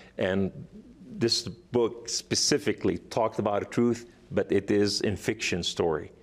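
A man speaks with a non-native accent at a medium pitch and ordinary pitch variation. The recording is very clean, with a silent background. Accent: foreign. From Lebanon. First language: Arabic. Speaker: author and evangelist, former jihadist. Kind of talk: talk show interview. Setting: studio.

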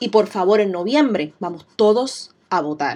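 A woman with a Puerto Rican accent talks fairly slowly at a medium pitch in an animated tone. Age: 30s. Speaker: podcast host, business owner. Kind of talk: solo podcast monologue.

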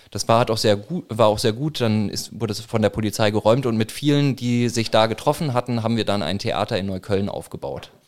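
The speaker moves at a fairly quick pace with ordinary pitch variation and hardly any pauses. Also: man, medium pitch for a man. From Franconia, northern Bavaria (Würzburg). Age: 30s. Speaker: protest organizer and newspaper publisher. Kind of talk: casual interview. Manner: halting, many fillers.

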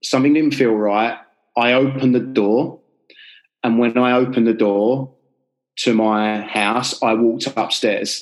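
A man in a London accent at a medium pitch, fairly slow and fairly even in intonation, with very even loudness and long, frequent pauses. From North London, Enfield. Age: 30s. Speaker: life coach and author. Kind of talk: interview storytelling.

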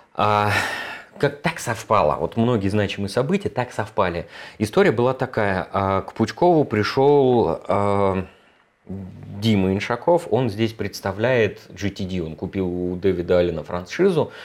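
A man's normal speaking voice, fairly low in pitch, at a fairly slow pace with lively intonation. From Moscow, Russia. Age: 40s. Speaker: productivity trainer, ex-software developer. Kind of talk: casual interview chat.

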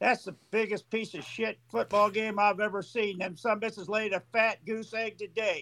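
With a raised, projected voice and a bright, sharp tone, a man speaks high-pitched at a fairly slow pace. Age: 60s. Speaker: caller, sports fan. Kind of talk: angry rant. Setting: call-in. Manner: animated, profane.

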